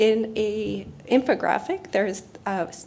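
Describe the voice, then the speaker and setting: A soft-spoken woman with a Canadian accent talks in a fairly high pitch over noticeable background noise. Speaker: health researcher. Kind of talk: conference presentation.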